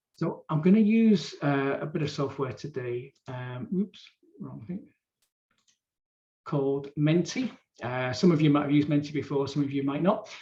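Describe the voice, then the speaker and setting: A man with a fairly high pitch and a dark, mellow tone speaks somewhat breathily at a moderate pace with ordinary pitch variation. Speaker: workshop facilitator. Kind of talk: live online training session. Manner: informal, hesitant fillers.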